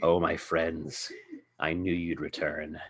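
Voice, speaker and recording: A very deep, low-pitched put-on character voice from a man, at a fairly slow pace. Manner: ominous, sinister.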